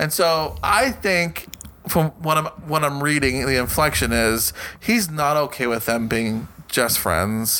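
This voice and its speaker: At a fairly slow pace, a man with an ordinary speaking voice and a fairly high pitch uses lively intonation. His loudness stays very even. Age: 30s. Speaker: podcast co-host. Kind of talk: casual chat.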